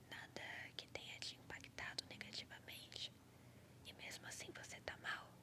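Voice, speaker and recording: Whispering comes at a very slow pace in a calm, gentle tone. Noticeable background noise is present. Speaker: ASMR creator. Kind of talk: ASMR reflective talk, calming monologue. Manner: soft, calm, gentle.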